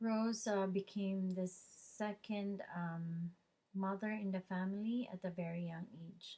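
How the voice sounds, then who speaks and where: A woman speaks very slowly at a medium pitch, her somewhat breathy voice carrying a dark, mellow tone. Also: fairly even intonation. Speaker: student. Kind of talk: oral presentation. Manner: halting.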